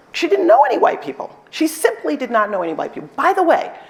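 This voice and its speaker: The speaker talks loudly with an American accent, the pitch swinging very widely. Noticeable background noise runs underneath. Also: woman. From New York City, South Bronx. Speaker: law professor and dean. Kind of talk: conference talk Q&A. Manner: animated, energetic.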